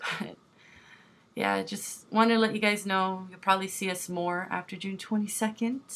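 The intonation is monotone and flat at a moderate pace. Loudness swings widely throughout. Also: woman, medium pitch for a woman. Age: 20s. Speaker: family vlogger. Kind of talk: casual vlog update. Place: home room. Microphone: webcam.

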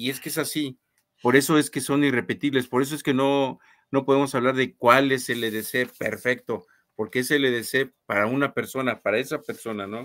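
Fairly even intonation carries a man's speech at a moderate pace. The background is quiet. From Guanajuato, Mexico. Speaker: co-host, knife enthusiast; co-host. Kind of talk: casual live stream chat. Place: home room.

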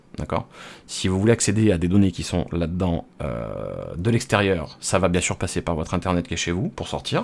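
A man with vocal fry speaks at a moderate pace in a very deep, low pitch with ordinary variation. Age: 30s. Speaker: home computer technician. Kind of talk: tutorial. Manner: hesitant, many filler sounds; casual, unscripted. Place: home room. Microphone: studio mic.

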